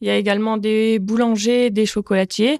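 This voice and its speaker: This is a woman's voice. The recording is very clean, with a silent background and a dry, close sound with no echo. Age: 30s. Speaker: butcher and business owner. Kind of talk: testimony.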